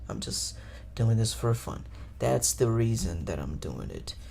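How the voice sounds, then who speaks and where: Audible room echo surrounds a man's somewhat breathy, very deep, low voice with a Portuguese accent. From Brazil. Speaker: podcaster. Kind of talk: casual solo podcast monologue. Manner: casual, profane.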